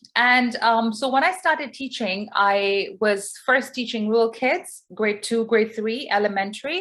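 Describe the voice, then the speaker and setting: At a fairly slow pace yet with hardly any pauses, a woman with a non-native accent speaks at a fairly high pitch with ordinary pitch variation. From Pakistani family, raised in Dubai. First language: not English. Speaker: English teacher. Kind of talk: online workshop talk.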